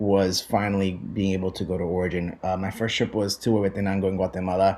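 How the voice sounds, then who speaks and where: The tone is dark and mellow. The pace is moderate. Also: man. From Puerto Rico. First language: Spanish. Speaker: coffee buyer. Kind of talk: podcast interview.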